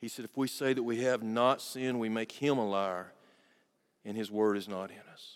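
Medium in pitch, a man talks at a moderate pace with fairly even intonation. His loudness swings widely, and the recording is very clean with a silent background. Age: 50s. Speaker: pastor. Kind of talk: sermon. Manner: halting.

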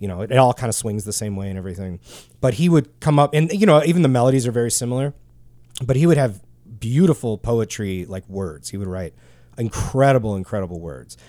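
A man's very fast, lively speech in a dark, mellow tone, on a very clean recording with a silent background. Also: medium pitch for a man, big swings in loudness. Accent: Midwestern. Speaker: podcast host, guitar gear. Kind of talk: casual chat. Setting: studio.

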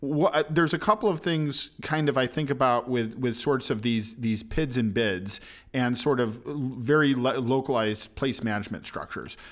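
A man of medium pitch with ordinary pitch variation and a moderate pace, in a very clean recording with a silent background. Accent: American. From US Midwest, Chicago. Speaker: podcast host. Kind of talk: interview conversation. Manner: halting, many fillers.

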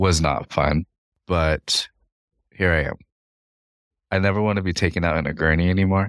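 A man with a very deep, low pitch and fairly even intonation, moderate pace, long, frequent pauses, very clean recording with a silent background. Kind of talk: casual chat. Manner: flat, sounds uninterested.

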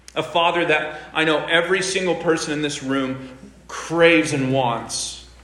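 Noticeable background noise surrounds a man whose pitch runs fairly high. His tone is animated and his pace moderate. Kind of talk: sermon with playful asides, like a live-demo sales pitch. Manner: animated, brisk, showman-like patter with urgent coaxing and mock-exasperated humor.

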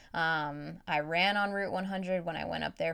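Fairly low pitch, a woman's monotone, flat delivery at a moderate pace on a very clean recording with a silent background. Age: 20s. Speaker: podcast host, running coach and physical therapist. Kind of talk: solo podcast monologue. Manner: casual, with frequent fillers and laughs.

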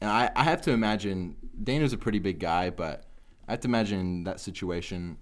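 Fairly low in pitch, a man speaks in a plain, everyday voice. His pace is fairly quick, with ordinary pitch variation. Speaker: MMA podcast co-host. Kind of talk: casual chat. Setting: studio.

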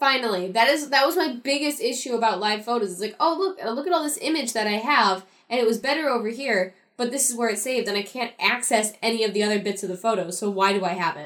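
A woman speaks at a very fast pace with hardly any pauses. Her fairly high voice has lively intonation. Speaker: podcast co-host. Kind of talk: casual chat.

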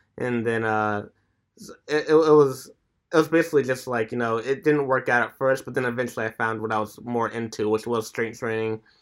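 A man with an ordinary speaking voice talks at a fairly quick pace and medium pitch. His intonation is fairly even, and the recording is very clean with a silent background. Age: 20s. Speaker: strength and bodyweight training coach. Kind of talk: casual chat.

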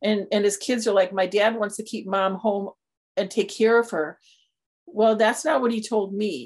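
A woman with an unremarkable speaking voice talks at a moderate pace, her medium pitch varying in an ordinary way. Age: 60s. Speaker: senior care planning firm founder. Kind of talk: interview.

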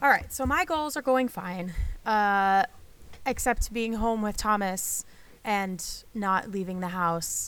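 A woman with an American accent, medium in pitch with ordinary pitch variation, at a very slow pace in a very clean recording with a silent background. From northern US. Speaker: podcast host, pastor's wife and mother. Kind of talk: casual chat.

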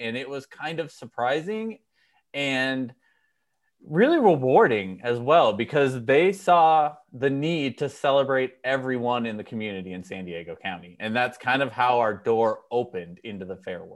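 A man's plain, everyday voice at medium pitch, moderate pace, lively intonation and big swings in loudness. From Minnesota. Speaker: event organization founder. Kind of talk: casual interview chat. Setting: remote interview.

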